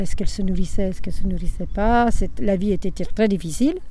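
A woman speaks in a dark, mellow tone, her pitch varying in an ordinary way. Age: 70s. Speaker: grandmother, retired factory seamstress and childminder. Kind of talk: family interview, life story recollection.

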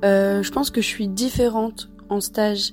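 Dark, mellow tone and monotone, flat intonation. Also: woman. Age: 20s. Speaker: social work trainee. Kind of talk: personal testimony. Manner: hesitant, many fillers.

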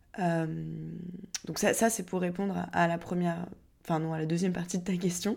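The woman speaking has a fairly low pitch. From southern France (Montpellier). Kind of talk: casual podcast monologue answering questions.

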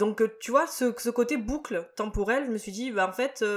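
Noticeable background noise is present. The pitch varies in an ordinary way. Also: man. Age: 30s. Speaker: podcast host. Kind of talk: casual chat.

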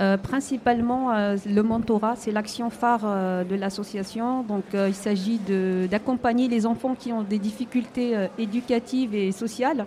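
The woman's pitch is fairly high, with fairly even intonation. She talks at a fairly slow pace. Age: 40s. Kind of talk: radio interview. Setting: live broadcast at an indoor market, audience present. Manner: hesitant.

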